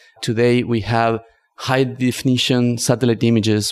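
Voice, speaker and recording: Here a man speaks at a moderate pace in a Spanish accent, his intonation monotone and flat. The recording is very clean, with a silent background. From northern Argentina. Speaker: climate tech entrepreneur. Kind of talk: podcast interview.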